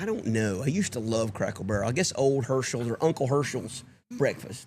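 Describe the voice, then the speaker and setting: With a Southern US accent, a man speaks at a fairly quick pace in a medium pitch. His intonation is lively and his voice somewhat breathy. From US South. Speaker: sports podcast host. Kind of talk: casual chat.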